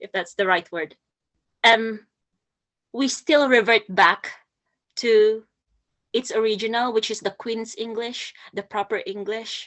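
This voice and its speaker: At a fairly slow pace, a woman with a Filipino accent talks with fairly even intonation, big swings in loudness and long, frequent pauses. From Philippines. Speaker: poet and nurse. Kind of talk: talk at a poetry workshop. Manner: halting, many fillers and repeats.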